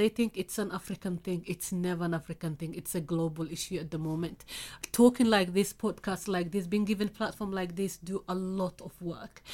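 A woman with a Somali accent, medium pitch, a dark, mellow tone, fairly even intonation and a fairly quick pace. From Somalia. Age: 50s. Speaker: FGM campaigner. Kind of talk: interview testimony. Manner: blunt.

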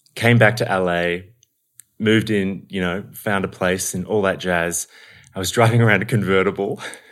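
This man has an Australian accent and a fairly low pitch, speaking at a moderate pace with fairly even intonation. The recording is very clean, with a silent background. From Melbourne, Australia. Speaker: actor and acting coach. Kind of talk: casual interview chat. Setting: in-person, at a home.

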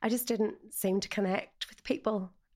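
A woman with a Northern Irish accent and a fairly high pitch, on a very clean recording with a silent background. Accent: Northern Irish (Ulster). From Northern Ireland, north Antrim. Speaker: life coach. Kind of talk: personal testimony interview.

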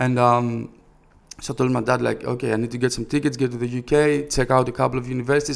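Speaking very fast with a Greek accent, a man holds a medium pitch in a monotone, flat intonation. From Greece, Thessaloniki. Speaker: rapper and record label founder. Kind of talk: interview.

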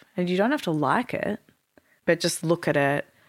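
An Australian accent at a moderate pace on a very clean recording with a silent background. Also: woman. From Melbourne, Australia. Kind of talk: casual interview chat.

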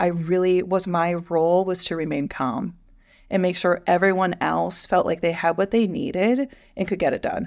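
A normal speaking voice from a woman with an American accent, medium pitch and moderate pace, on a very clean recording with a silent background. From US Midwest. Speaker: podcast co-host, higher education professional. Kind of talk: casual chat.

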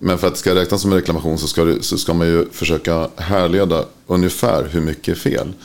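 Over noticeable background noise, a man with a very deep, low pitch speaks at a fairly quick pace with fairly even intonation. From Sweden, Örebro. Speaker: ceramic tile industry expert. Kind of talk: casual interview. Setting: studio.

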